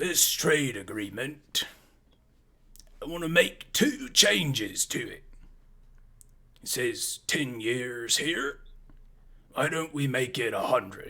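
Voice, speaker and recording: Putting on a raspy character voice, a man talks very slowly with long, frequent pauses. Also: fairly high pitch for a man. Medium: actual play. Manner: warm, confident.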